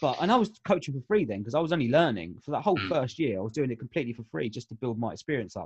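A man with an English accent talks at a very fast pace, his pitch swinging very widely. The sound is dry and close, with no echo. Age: 30s. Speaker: life coach. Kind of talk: casual chat.

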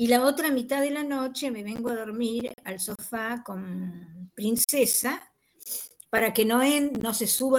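Speaking at a fairly slow pace with ordinary pitch variation, the speaker has an unremarkable speaking voice. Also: woman. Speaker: university teacher. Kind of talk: online class discussion.

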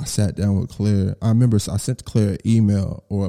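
Recorded very cleanly against a silent background, a voice with an American accent has a dark, mellow tone and fairly even intonation. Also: man. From Texas, Garland (Dallas area). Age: 30s. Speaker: podcast host, music executive. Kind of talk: casual solo monologue. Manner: casual, filler-heavy.

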